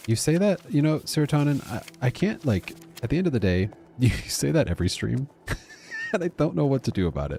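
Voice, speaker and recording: Soft-spoken man at medium pitch, fairly quick pace with long, frequent pauses, very wide pitch swings and music in the background. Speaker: gaming streamer. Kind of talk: live gameplay stream commentary. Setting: live stream, talking to chat. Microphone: quiet stream audio, viewer says too quiet.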